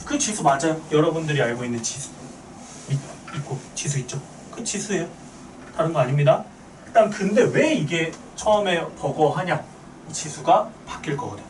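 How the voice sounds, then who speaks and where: A man's fairly high voice with lively intonation and long, frequent pauses, plus audible room echo and noticeable background noise. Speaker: math teacher. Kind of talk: lecture. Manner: fast.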